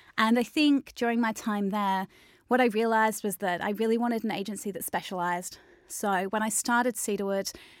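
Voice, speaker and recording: Fairly even intonation from a woman with an Australian accent, on a very clean recording with a silent background. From Australia, Melbourne. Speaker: digital marketing agency founder. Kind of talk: interview.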